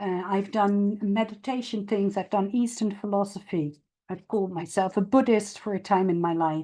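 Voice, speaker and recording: Speaking with a non-native accent, this voice has a dark, mellow tone, fairly even intonation, a moderate pace and hardly any pauses. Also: woman, medium pitch for a woman. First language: not English. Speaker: stoicism advocate and agile practitioner. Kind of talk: Q&A at online meetup talk. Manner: halting, many fillers and restarts.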